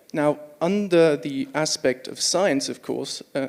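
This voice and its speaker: A man speaks in a Swiss accent. Noticeable background noise is present. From Switzerland. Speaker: audience member asking a question. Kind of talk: audience question.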